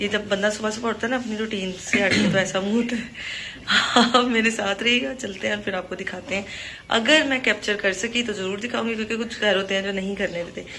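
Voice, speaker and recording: A woman talks at a moderate pace and medium pitch, with noticeable background noise and audible room echo. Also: fairly even intonation. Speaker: vlogger. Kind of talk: casual vlog narration.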